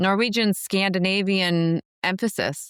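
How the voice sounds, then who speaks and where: Medium-pitched woman's voice on a very clean recording, silent background. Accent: Upper Midwest. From US Midwest, Minnesota. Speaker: podcast host, entrepreneur. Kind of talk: podcast interview.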